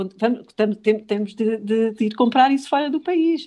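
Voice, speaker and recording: This woman's tone is dark and mellow. Her intonation is lively. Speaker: politician. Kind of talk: political discussion. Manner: halting.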